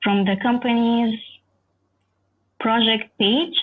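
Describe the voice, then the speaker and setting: A woman with an Arabic accent speaks at a very slow pace. Her voice is somewhat breathy and fairly high in pitch. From Egypt, schooled in the UAE. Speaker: software engineer. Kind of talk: lecture.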